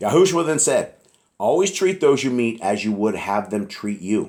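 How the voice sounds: A man puts on a raspy character voice at medium pitch. He swings his pitch very widely while keeping a moderate pace.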